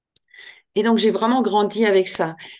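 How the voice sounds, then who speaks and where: A woman speaks against a quiet background. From Quebec. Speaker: author and end-of-life care trainer. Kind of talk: interview. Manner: hesitant, many fillers and repetitions.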